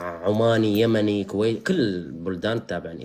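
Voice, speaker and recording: This is a man speaking at a medium pitch. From Syria, Al-Hasakah. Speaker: live streamer. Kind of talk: casual chat.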